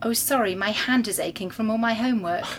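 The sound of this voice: A woman's fairly high voice at a fast pace, with ordinary pitch variation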